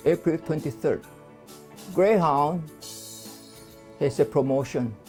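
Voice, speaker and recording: Over music in the background, a man talks at a very slow pace, his fairly high pitch showing ordinary pitch variation. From China. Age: 80s+. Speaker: immigrant. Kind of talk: interview answer.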